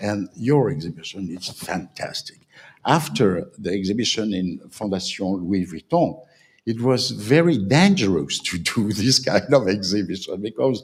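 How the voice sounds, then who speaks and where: A man with a French accent, fairly low in pitch, lively in intonation, at a moderate pace. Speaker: panel speaker on design. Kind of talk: panel talk. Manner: halting.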